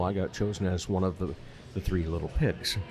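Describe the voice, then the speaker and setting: A man speaks at a fairly quick pace in a very deep, low voice. Music plays in the background. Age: 50s. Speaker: podcast host. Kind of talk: interview.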